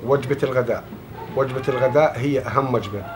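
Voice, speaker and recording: Speaking with a southern Syrian accent at a moderate pace, a man is heard over noticeable background noise. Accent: Southern Syrian (Hauran) Arabic. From Syria, Daraa. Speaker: refugee. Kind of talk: interview answer. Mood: calm, warm reminiscing. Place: home room.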